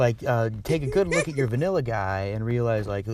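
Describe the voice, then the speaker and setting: At a fairly quick pace, a man talks in a somewhat breathy way. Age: 30s. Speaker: audience participant. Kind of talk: casual chat.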